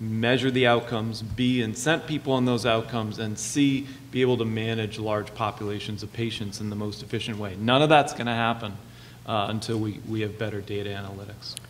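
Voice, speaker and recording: Fairly quick speech comes from a man at a medium pitch. He has an ordinary speaking voice. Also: fairly even intonation. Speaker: primary care physician, panelist. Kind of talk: moderated panel debate.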